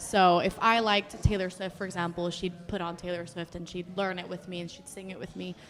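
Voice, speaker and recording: Over background music, a woman with an American accent talks at a fairly quick pace with hardly any pauses, her intonation monotone and flat while her loudness swings widely. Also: medium pitch for a woman. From Mexico. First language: Spanish. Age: 20s. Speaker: singer. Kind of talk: casual chat.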